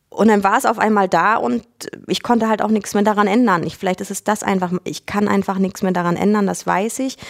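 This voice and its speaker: Words come at a fairly quick rate. The intonation rises and falls in an ordinary way. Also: woman, medium pitch for a woman. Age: 30s. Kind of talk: interview. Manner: halting, many fillers.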